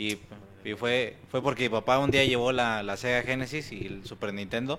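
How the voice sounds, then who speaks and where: Here is a man with a plain, everyday voice, medium in pitch and with ordinary pitch variation. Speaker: gamer guest. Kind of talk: casual chat.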